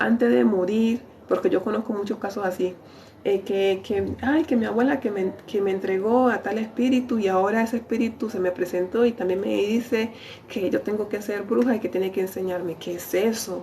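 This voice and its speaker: Noticeable background noise sits behind a woman speaking at a moderate pace. Her pitch is medium, with ordinary pitch variation. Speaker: lay preacher. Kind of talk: sermon. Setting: livestream. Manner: animated.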